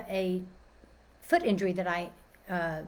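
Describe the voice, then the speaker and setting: Audible room echo surrounds a woman's voice. She speaks with an American accent at a fairly slow pace. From Texas, Dallas. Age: 60s. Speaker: personal trainer and life coach. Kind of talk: informal talk / webinar presentation. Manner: casual, with many fillers and restarts.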